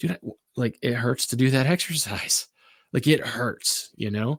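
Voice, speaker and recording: A man puts on a raspy, whiny character voice, speaking at a moderate pace and medium pitch. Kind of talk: casual. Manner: whiny, making excuses.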